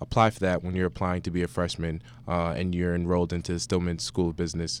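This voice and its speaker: This man's fairly even intonation sits on a very deep, low pitch. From New Jersey, South Orange. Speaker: university student. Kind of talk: radio interview. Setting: radio studio. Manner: halting.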